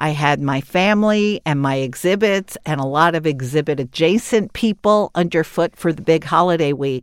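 An unremarkable speaking voice from a woman, fairly low in pitch at a moderate pace, in a very clean recording with a silent background. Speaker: podcast host. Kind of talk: casual chat. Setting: studio.

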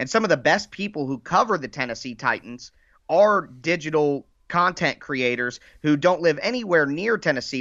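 In an American accent, a man with a plain, everyday voice, fairly high in pitch, speaks at a moderate pace with lively intonation. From Dayton, Ohio. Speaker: sports podcaster, Titans fan. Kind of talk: casual sports podcast interview.

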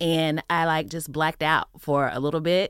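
Speaking with an American accent, a woman with a very deep, low pitch keeps her intonation fairly even. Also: very clean recording, silent background. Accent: Texas accent, toned down. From Texas. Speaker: podcast host. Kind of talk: casual interview chat.

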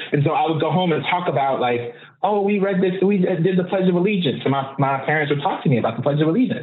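A man talks at a very fast clip with hardly any pauses, his voice carrying audible room echo and noticeable background noise. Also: fairly high pitch for a man, ordinary pitch variation, very even loudness. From Oakland, California (East Oakland). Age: 40s. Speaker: social justice activist and coach. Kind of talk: casual interview conversation.

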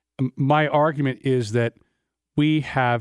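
A man's fairly high, fairly even voice, dry and close with no echo, on a very clean recording with a silent background. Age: 60s. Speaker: lawyer and former prosecutor. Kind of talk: casual chat. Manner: halting.

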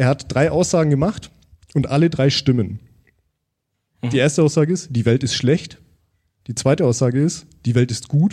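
Pausing long and often, a man with a fairly high, somewhat breathy voice of dark, mellow tone speaks at a moderate pace with ordinary pitch variation. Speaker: podcaster. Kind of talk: live podcast conversation. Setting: stage with audience.

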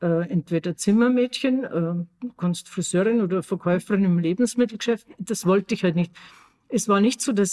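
A woman's medium-pitched voice with a dark, mellow tone, moderate pace, ordinary pitch variation and very even loudness, in a dry, close sound with no echo. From Austria, Tyrol. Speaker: podcast co-host. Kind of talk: casual chat.

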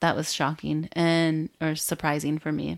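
An American-accented woman speaks fairly slowly in a very deep, low voice with monotone, flat intonation, on a very clean recording with a silent background. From rural Michigan, US Midwest. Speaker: tech company founder and engineer. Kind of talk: interview.

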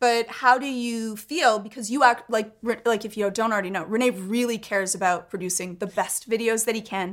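Delivered in a plain, everyday voice, the speech moves at a fairly quick pace with hardly any pauses. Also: woman, fairly high pitch for a woman, fairly even intonation. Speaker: podcast co-host and tech commentator. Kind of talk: casual chat.

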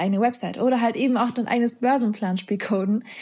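Somewhat breathy and dark, mellow in tone, a woman talks at a fairly quick pace with fairly even intonation. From Germany. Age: 20s. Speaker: coder and author. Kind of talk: interview. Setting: video call. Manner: hesitant, many fillers.

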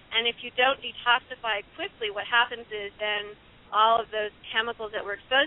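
A plain, everyday voice with an American accent moves at a fairly quick pace. Its intonation is fairly even. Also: woman. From US Midwest, Illinois. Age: 50s. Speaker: ecologist and author. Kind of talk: radio interview.

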